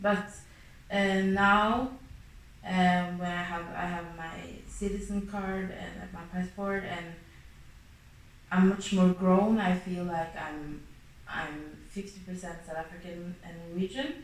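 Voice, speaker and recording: Amid noticeable background noise and audible room echo, a woman of medium pitch speaks at a very slow pace with fairly even intonation, big swings in loudness and long, frequent pauses. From Norway. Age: 20s. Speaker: interviewee. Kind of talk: interview. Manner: hesitant.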